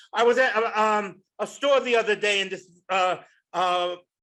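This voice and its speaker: Against a quiet background, a man uses a raised, projected voice with a bright, sharp tone, high pitch and fairly even intonation. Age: 60s. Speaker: stand-up comedian. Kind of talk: stand-up. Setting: stage with audience.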